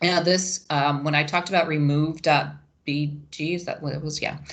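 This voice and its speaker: This woman's pitch is very deep and low. She talks at a fairly quick pace with fairly even intonation. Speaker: webinar presenter for educators. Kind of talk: tutorial. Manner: hesitant, many fillers (um).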